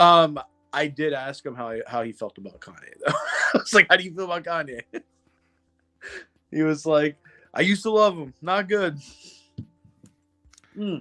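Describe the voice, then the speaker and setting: A man speaks at a fairly high pitch and moderate pace, with lively intonation, big swings in loudness and long, frequent pauses. Music plays in the background, and the sound is dry and close with no echo. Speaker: podcast co-host. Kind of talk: casual chat. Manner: animated.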